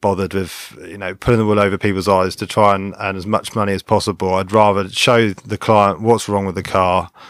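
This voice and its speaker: A man with an unremarkable speaking voice and fairly low pitch talks at a fairly quick pace with hardly any pauses, in a dry, close sound with no echo on a very clean recording with a silent background. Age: 30s. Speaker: independent car mechanic, workshop owner. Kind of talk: casual interview. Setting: studio, in person.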